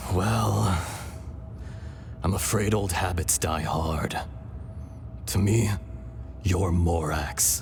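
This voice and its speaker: Over clear background noise, a man uses a put-on character voice with a very deep, low pitch, speaking at a very slow pace with long, frequent pauses. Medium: video game. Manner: measured, solemn.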